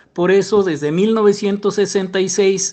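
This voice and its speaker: Over a quiet background, a man with a Mexican accent talks in a high voice. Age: 70s. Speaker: former church member telling his story. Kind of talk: personal testimony interview. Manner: hesitant with self-corrections.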